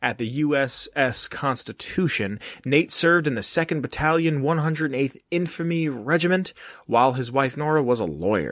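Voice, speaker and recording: This man has a normal speaking voice, pitched fairly high. He talks at a moderate pace with ordinary pitch variation. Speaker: podcast host. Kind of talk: casual chat. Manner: profane, joking.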